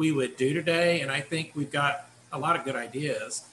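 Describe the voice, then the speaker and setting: A man at a moderate pace with ordinary pitch variation over light background noise. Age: 50s. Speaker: assistant professor, committee chair. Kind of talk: work meeting. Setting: video call. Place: home room. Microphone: video call.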